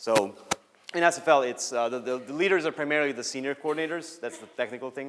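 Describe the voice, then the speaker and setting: Over noticeable background noise, a man with a fairly high voice speaks very fast, with ordinary pitch variation and big swings in loudness. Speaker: student organization coordinator. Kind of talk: Q&A; conference talk.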